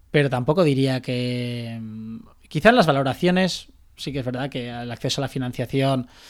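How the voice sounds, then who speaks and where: Heard in a very clean recording with a silent background, a man speaks at a moderate pace and medium pitch, with ordinary pitch variation and big swings in loudness. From Valencia, Spain. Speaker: startup founder and CEO. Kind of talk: interview. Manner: halting, many fillers.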